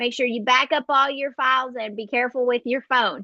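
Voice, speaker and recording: This woman's voice is high in pitch. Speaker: astrologer. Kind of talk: horoscope forecast monologue. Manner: casual, with fillers.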